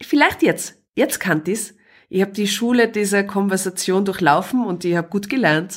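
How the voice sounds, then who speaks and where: Recorded very cleanly against a silent background, a woman with a normal speaking voice talks at a moderate pace and medium pitch, with ordinary pitch variation. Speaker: podcast guest, mother. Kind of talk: casual interview. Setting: living room.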